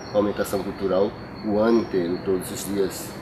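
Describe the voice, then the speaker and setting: A man's moderately paced speech sits against noticeable background noise. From João Pessoa, Paraíba, Brazil. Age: 50s. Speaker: local resident. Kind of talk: documentary interview.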